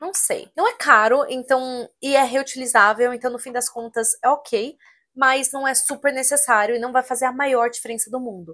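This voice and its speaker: A woman projects a raised, high-pitched voice with a bright, sharp tone at a moderate pace. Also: fairly even intonation, big swings in loudness, quiet background. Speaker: esthetician; skincare content creator. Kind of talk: tutorial.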